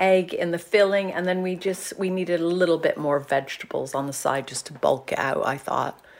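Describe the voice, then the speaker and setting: A woman speaks at a moderate pace. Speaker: nutritionist. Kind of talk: casual recipe chat.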